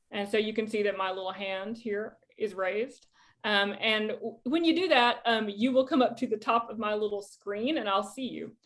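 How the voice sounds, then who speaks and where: A woman speaks in a Southern US accent at a moderate pace. Her fairly high voice shows ordinary pitch variation. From US South. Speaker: poet and creative writing professor. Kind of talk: lecture. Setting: video call. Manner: casual, informal.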